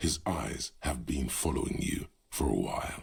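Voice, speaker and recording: A man's put-on character voice, growling and very deep, with a dramatic tone at a moderate pace. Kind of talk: noir narration. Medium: video game. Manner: atmospheric, dramatic.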